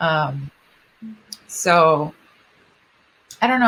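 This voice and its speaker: In a Japanese accent, a woman talks at a very slow pace with a very deep, low pitch. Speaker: singer. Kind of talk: interview. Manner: halting.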